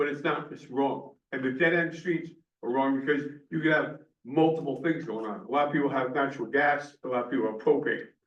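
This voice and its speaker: There is audible room echo as a man talks at a fairly quick pace. His pitch is fairly high and his intonation fairly even. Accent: American. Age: 70s. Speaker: planning commission member and firefighter. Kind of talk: public meeting discussion. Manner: halting.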